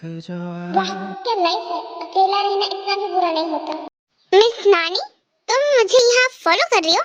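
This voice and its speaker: Using a put-on character voice, a woman speaks at an extremely high pitch and a moderate pace, with ordinary pitch variation. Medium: fan dub. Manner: easygoing, cheeky.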